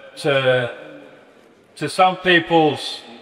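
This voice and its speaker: Speaking with an Australian accent, a man is heard over noticeable background noise with audible room echo. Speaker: basketball coach. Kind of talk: lecture. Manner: halting.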